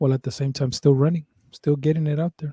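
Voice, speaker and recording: In a dry, close recording with no echo, a man speaks at a fairly high pitch with a somewhat breathy, dark, mellow tone. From Mexico, raised from age ten in the Bay Area. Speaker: podcast co-host. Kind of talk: casual chat; reading aloud. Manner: casual, repetitive fillers.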